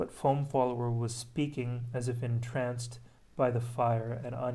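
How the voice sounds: What we hear is a natural reading voice.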